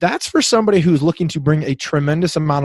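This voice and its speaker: A man speaks in a fairly high, somewhat breathy voice with lively intonation. The sound is dry and close, with no echo. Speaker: athletic trainer. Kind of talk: podcast interview. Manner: fast.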